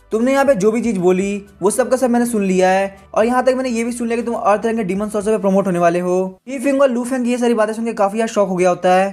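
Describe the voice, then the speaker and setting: This is a man with a high-pitched voice for a man. The recording is very clean, with a silent background. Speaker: comic recap narrator. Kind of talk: story recap narration. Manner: casual, conversational.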